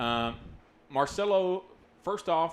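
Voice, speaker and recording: A man with a fairly high pitch and lively intonation. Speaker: sports commentator. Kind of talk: live commentary. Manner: fast.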